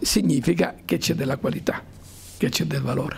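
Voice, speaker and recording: Light background noise can be heard as a man talks. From Calabria, Decollatura area; Calabria. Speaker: university professor and club president; university professor. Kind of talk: lecture to students. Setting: school conference hall with audience. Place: hall. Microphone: handheld.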